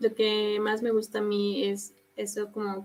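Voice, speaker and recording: A woman speaks with a central Mexican accent. Her pitch is medium. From Mexico City. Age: 20s. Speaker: graphic designer and volunteer activist. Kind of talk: casual live-stream chat.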